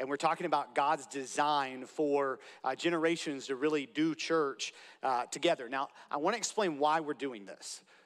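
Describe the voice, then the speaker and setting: Recorded very cleanly over a silent background, a man with an ordinary speaking voice talks at a moderate pace, his fairly high pitch showing ordinary variation. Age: 30s. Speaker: pastor. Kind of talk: sermon. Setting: church.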